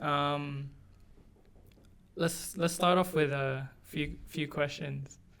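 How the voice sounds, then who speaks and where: This man's pitch is fairly high. He keeps his intonation fairly even. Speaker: podcast co-host. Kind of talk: casual chat. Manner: monotone.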